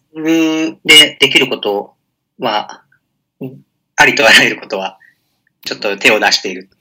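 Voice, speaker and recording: The voice has a bright, sharp tone and lively intonation at a moderate pace. Loudness swings widely, and long, frequent pauses break it up. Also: man, medium pitch for a man. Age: 20s. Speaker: blogger and web entrepreneur. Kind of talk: interview.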